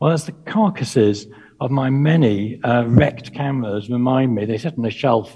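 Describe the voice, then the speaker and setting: A man's dark, mellow, somewhat breathy voice at a moderate pace with ordinary pitch variation, set against a quiet background. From UK. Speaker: presenter. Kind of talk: lecture. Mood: reflective, self-deprecating. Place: home room. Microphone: headset.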